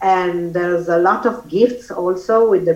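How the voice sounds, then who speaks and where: With an Italian accent, a woman speaks at a fairly slow pace in a medium pitch with ordinary pitch variation. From Italy. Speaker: author and former model. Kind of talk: casual interview. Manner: halting, hesitant.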